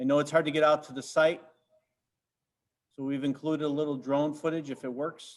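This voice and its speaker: Speaking at a fairly quick pace yet with long, frequent pauses, a man with a fairly high pitch keeps a monotone, flat intonation amid big swings in loudness. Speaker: park district staff reporting to board. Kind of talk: board meeting report. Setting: video conference meeting. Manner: fast.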